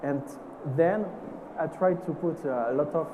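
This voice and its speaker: With a French accent, a man talks at a moderate pace with ordinary pitch variation, amid noticeable background noise and audible room echo. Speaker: perfumer. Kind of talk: panel discussion. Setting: stage with audience. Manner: halting.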